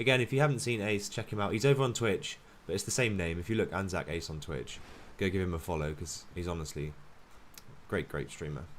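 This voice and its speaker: With a British accent, a man speaks at a very fast pace in a very deep, low pitch and lively intonation. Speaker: gaming streamer. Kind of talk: live stream commentary. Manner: casual, filler-heavy.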